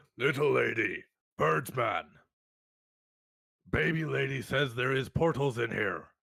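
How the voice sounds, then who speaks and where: In a raspy, put-on character voice of medium pitch, a man talks fairly slowly with long, frequent pauses. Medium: actual play. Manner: blunt, simple speech.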